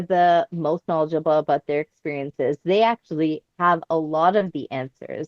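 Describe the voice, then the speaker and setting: A woman with a Canadian accent has a normal speaking voice and ordinary pitch variation. She talks at a moderate pace in a dry, close sound with no echo. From Canada. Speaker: professor. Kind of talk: podcast interview.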